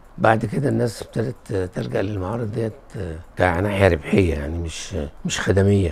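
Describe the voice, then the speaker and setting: A man's fairly low pitch and lively intonation at a moderate pace, with noticeable background noise. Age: 70s. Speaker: publisher, retired army engineer. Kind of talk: interview testimony. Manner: halting with repeated false starts.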